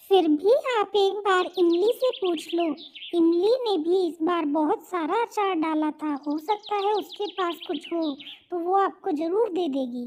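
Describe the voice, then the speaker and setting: In a cartoonish character voice, a woman speaks at a moderate pace with an extremely high pitch. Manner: chatty, friendly.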